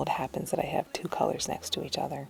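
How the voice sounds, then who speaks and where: Behind a woman's voice, music can be heard in the background. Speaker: lifestyle vlogger. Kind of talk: voiceover narration. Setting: at home. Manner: whispering.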